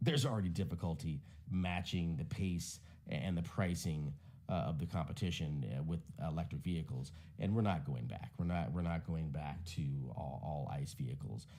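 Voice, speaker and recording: There is audible room echo around a man with a very deep, low pitch and ordinary pitch variation. His tone is dark and mellow, with vocal fry. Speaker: tech commentator. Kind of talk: casual commentary. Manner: fast.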